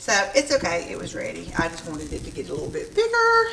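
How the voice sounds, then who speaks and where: Amid noticeable background noise and audible room echo, a woman speaks with a Southern accent. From US South. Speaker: homesteading vlogger. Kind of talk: casual cooking and garden vlog. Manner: casual, chatty with fillers.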